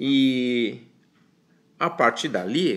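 A man's voice at a medium pitch. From China. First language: Chinese (speaking Portuguese). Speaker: professor. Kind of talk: recorded self-introduction. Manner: halting.

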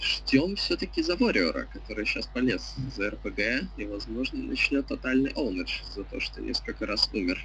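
Noticeable background noise behind a man's voice at a moderate pace. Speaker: game stream commentator. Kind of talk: live commentary. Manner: loud.

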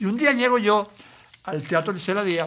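A man with a high, bright, sharp voice speaks at a moderate pace, projecting loudly with lively intonation. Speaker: interview host; stand-up comedian. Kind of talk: interview talk.

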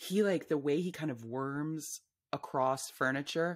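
Over a quiet background, a woman with a very deep, low pitch speaks in an animated tone with ordinary pitch variation. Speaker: novelist and memoirist; guest. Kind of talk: casual interview conversation. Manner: animated, laughs often. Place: home room. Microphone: studio mic.

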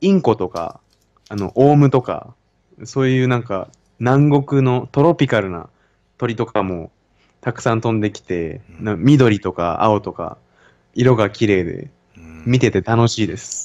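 Against a quiet background, a man speaks at a fairly slow pace with long, frequent pauses and big swings in loudness. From Japan. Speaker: university student. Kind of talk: casual conversation. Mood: relaxed, friendly. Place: home room. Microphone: studio mic.

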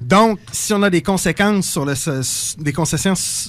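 An unremarkable speaking voice belongs to a man with lively intonation. He keeps a moderate pace. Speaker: psychosocial worker. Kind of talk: radio interview. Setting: radio studio.

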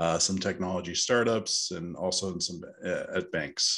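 A man's very deep, low voice with ordinary pitch variation against a quiet background. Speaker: podcast guest. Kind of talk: interview answer. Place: office. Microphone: earbuds.

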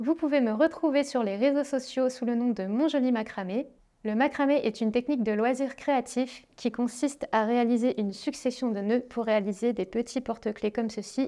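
A woman's high pitch with a dark, mellow tone, fairly even intonation, and a moderate pace, against a quiet background. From northern France, Dunkirk; France. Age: 30s. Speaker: craft artist and author; creator. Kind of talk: book presentation. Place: studio. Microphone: lapel.

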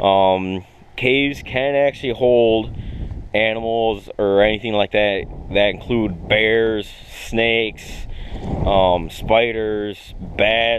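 A man speaks in a plain, everyday voice, fairly low in pitch with fairly even intonation and very even loudness. The sound is dry with no echo, and there is light background noise. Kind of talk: tutorial. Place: open country. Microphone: phone near.

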